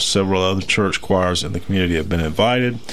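A man talks with a Southern US accent and ordinary pitch variation. Noticeable background noise runs under his voice. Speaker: radio host. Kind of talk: casual chat. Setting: studio.

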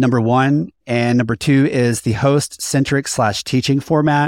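On a very clean recording with a silent background and a dry, close sound with no echo, a man uses a normal speaking voice at medium pitch with fairly even intonation. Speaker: podcast host and consultant. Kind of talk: casual chat, podcast discussion.

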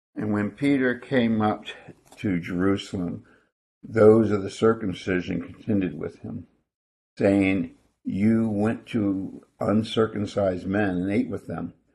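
Speaking at a fairly slow pace, a man with a fairly low pitch and a dark, mellow tone keeps his intonation fairly even. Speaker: scripture reader. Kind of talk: reading aloud scripture.

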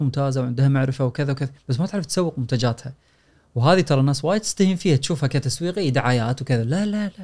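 A man talks at a very fast pace in a fairly high, somewhat breathy voice. His tone is dark and mellow. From Kuwait. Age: 40s. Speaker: personal finance author and lecturer. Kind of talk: casual chat.

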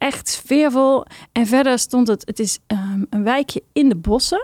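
In a dry, close sound with no echo, a woman with a fairly high pitch and slightly mellow tone speaks at a fairly slow pace with ordinary pitch variation.

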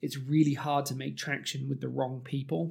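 A man with a British accent speaks in a fairly high pitch. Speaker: technology executive. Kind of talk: casual interview conversation. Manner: halting, filler-heavy.

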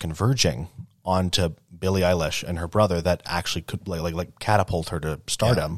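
A man with a very deep, low pitch speaks at a fairly quick pace in a very clean recording with a silent background. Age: 20s. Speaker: young adult panel guest. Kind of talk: panel discussion. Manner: halting.

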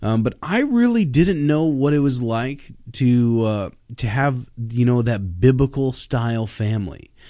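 At a fairly slow pace, a man with a plain, everyday voice speaks at medium pitch on a very clean recording with a silent background. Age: 30s. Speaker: pastor and podcast host. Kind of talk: solo religious podcast talk. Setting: studio.

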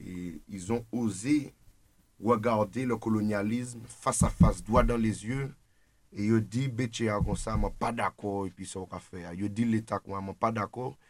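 A man speaks in a normal speaking voice, fairly low in pitch, at a fairly slow pace. His intonation is fairly even, but his loudness swings widely. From Martinique. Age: 20s. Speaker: political activist. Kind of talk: radio discussion. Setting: studio.

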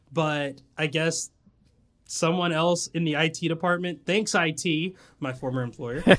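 A speaker with an American accent talks at a fairly slow pace. The recording is very clean, with a silent background. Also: man, fairly high pitch for a man. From US South (Tennessee/Georgia). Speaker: podcast host. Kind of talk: casual chat. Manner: animated.

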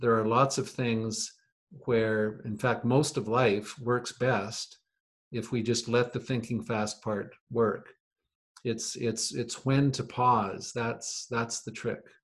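This man's medium-pitched voice is somewhat breathy and moves at a very slow pace. His intonation stays monotone and flat. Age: 60s. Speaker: podcast guest, host's father. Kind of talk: casual chat.

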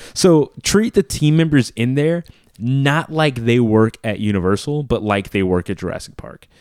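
A man with a plain, everyday voice and an American accent speaks at medium pitch and a moderate pace, with lively intonation. The recording is very clean with a silent background, dry and close with no echo. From US South, Louisiana (New Orleans). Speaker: podcast co-host. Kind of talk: casual chat.

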